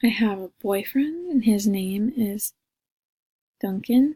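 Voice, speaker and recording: Speaking very slowly with an American accent, a woman has a fairly high pitch, ordinary pitch variation and a somewhat breathy, dark, mellow tone. The recording is dry and close, with no echo. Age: 20s. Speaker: college student. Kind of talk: self-introduction recording.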